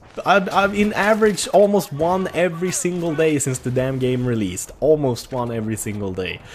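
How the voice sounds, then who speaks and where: The speaker talks at a moderate pace with a Swedish accent. Noticeable background noise runs underneath. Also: man. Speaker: gaming YouTuber. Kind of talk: gameplay commentary. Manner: casual, enthusiastic.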